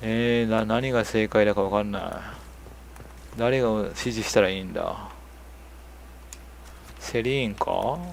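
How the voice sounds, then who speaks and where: Speaking at a fairly slow pace with long, frequent pauses, a man keeps a medium pitch and a monotone, flat intonation. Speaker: game streamer. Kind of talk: live gameplay commentary. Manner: stuttering speech.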